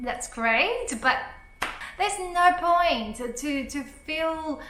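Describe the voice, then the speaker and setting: Projecting her raised voice with lively intonation and a non-native accent, a woman speaks at a very slow pace amid audible room echo. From Taiwan. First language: Mandarin. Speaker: YouTuber. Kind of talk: motivational vlog talk. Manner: animated.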